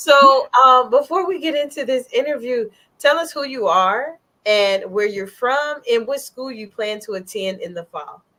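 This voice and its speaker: A woman's high-pitched, raised and projected voice with an American accent, animated in tone, lively in intonation, fairly slow in pace, and with big swings in loudness. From northern US. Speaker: talk show host. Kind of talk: interview.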